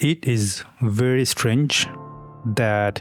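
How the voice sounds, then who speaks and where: There is music in the background. A man speaks at medium pitch. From Bangladesh. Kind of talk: personal story told to camera.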